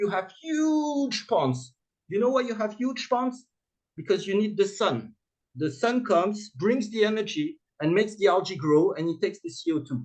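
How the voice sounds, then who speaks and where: This man has a high-pitched voice with a French accent. His pitch swings very widely. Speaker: startup founder and CEO. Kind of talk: conference presentation. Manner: halting, many fillers; fast.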